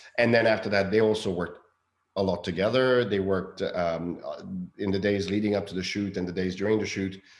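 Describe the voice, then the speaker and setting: At a fairly quick pace, a man with a fairly low pitch speaks in a flat monotone, with audible room echo. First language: not English. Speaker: film director. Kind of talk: interview. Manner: halting, many fillers.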